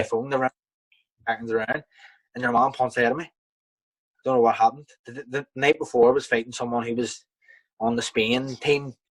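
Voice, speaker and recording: In a Belfast accent, a man of medium pitch talks at a fairly quick pace with monotone, flat intonation and long, frequent pauses, in a dry, close sound with no echo. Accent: Belfast, Northern Irish. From Belfast, Northern Ireland. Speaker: professional boxer. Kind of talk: interview answer. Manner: casual, hesitant.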